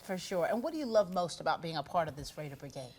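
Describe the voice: A woman's low-pitched, slightly mellow voice, fast-paced with lively intonation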